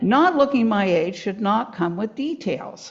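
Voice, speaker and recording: Noticeable background noise runs under a woman at a medium pitch. She moves at a moderate pace with very wide pitch swings. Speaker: author. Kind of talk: reading aloud from own book.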